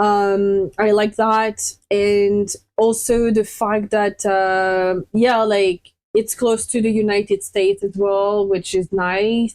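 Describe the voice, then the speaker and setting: With a French accent, a woman of medium pitch speaks very slowly, her loudness very even and her intonation monotone and flat. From France. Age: 30s. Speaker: interview guest. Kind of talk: casual interview chat.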